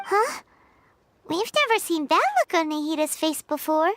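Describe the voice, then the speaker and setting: A squeaky, put-on character voice sits at an extremely high pitch. It runs at a moderate pace. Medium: video game. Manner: casual, curious.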